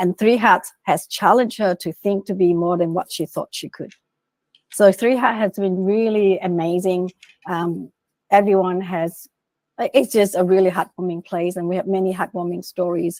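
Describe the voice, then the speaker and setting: Recorded very cleanly against a silent background, a woman with a normal speaking voice and medium pitch talks with fairly even intonation in dry, close sound with no echo. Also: moderate pace. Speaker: executive coach and author. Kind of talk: interview presentation with slides.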